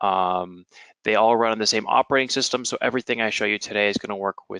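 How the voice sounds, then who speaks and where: With a bright, sharp tone, a man speaks at a fairly low pitch in a dry, close sound with no echo. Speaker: webinar presenter. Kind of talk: technical webinar. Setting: online webinar. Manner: fast.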